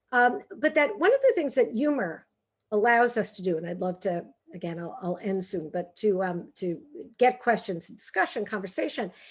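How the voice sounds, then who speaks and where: A woman with a Brooklyn accent speaks with very wide pitch swings and big swings in loudness. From New York, Brooklyn. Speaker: author and humor speaker. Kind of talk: talk. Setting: video call. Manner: animated.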